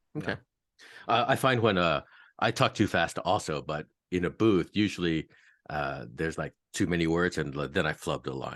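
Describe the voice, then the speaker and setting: Vocal fry runs through the voice. The background is quiet. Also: man, very deep, low pitch for a man, lively intonation, moderate pace. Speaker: interviewer, voice actor. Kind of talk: interview host. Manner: casual, friendly.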